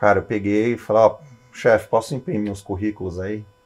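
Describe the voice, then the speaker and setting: An unremarkable speaking voice belongs to a man with a fairly low pitch. His intonation is fairly even. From Switzerland, then Brazil from age ten (Santos). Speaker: airline/executive pilot. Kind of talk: podcast interview. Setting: flight simulator cockpit. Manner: casual, conversational.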